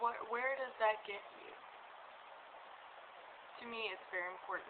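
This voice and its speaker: At a moderate pace and with fairly even intonation, a woman speaks over noticeable background noise. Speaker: pagan vlogger. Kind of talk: casual talk to camera.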